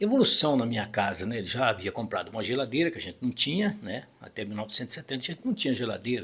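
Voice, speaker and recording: A man talks at a very fast pace with hardly any pauses, using lively intonation at medium pitch, with big swings in loudness. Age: 60s. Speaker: radio broadcaster. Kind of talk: personal reminiscence monologue. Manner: halting.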